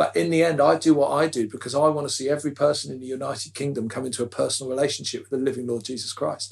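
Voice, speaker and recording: A man speaks at a very fast pace with hardly any pauses, his fairly high voice showing ordinary pitch variation, big swings in loudness and a passionate tone. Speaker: podcast guest, evangelical leader. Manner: fast talker, passionate.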